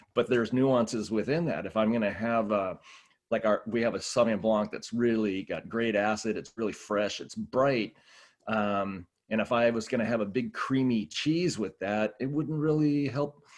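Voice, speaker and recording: Over a quiet background, a man with an American accent speaks at medium pitch and a moderate pace, with ordinary pitch variation. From Southern California. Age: 60s. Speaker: wine executive. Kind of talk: podcast interview.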